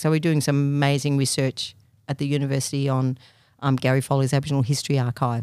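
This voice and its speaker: A woman's very deep, low voice in an Australian accent, very fast and monotone, on a very clean recording with a silent background. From country Victoria, Australia. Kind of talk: interview.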